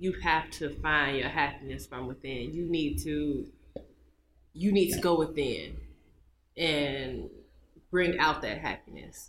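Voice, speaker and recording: A woman with a very deep, low pitch speaks at a very slow pace, using fairly even intonation, vocal fry and long, frequent pauses. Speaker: podcast co-host. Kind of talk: casual chat.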